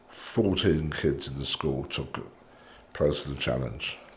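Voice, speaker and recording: Speaking at a very slow pace with a southern English accent, a man uses a very deep, low pitch and vocal fry, with audible room echo. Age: 60s. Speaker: cigar shop owner. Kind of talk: casual chat.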